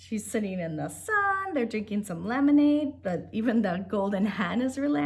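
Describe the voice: Lively intonation throughout plain reading aloud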